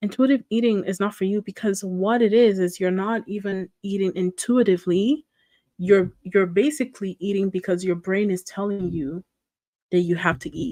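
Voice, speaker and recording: In a non-native accent, a woman speaks at a moderate pace with a dark, mellow tone and ordinary pitch variation, the sound dry and close with no echo. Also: medium pitch for a woman, quiet background. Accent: noticeable non-native. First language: not English. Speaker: reaction streamer. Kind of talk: casual reaction commentary.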